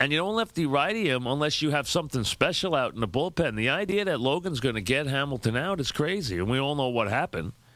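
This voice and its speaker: A New York accent at a very fast pace, with hardly any pauses and very wide pitch swings. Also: man, fairly high pitch for a man, very clean recording, silent background. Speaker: sports radio host. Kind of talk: sports radio monologue, opinionated commentary.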